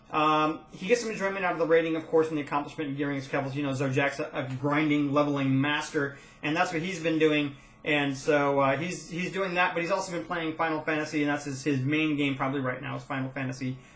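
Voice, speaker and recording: The speech comes at a very fast pace with fairly even intonation. Noticeable background noise and audible room echo are present. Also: man, fairly high pitch for a man. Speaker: gaming guild leader. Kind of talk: casual monologue update.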